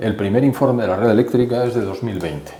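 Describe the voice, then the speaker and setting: Over noticeable background noise and audible room echo, a man with a medium pitch talks at a very fast pace. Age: 70s. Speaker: economist. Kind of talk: interview.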